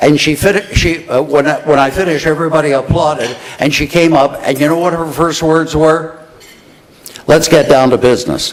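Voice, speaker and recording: There is noticeable background noise and audible room echo as a man with a fairly high voice speaks at a moderate pace, his intonation fairly even. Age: 70s. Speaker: radio talk show host, conference emcee. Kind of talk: conference emcee remarks. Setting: stage with audience at dinner event.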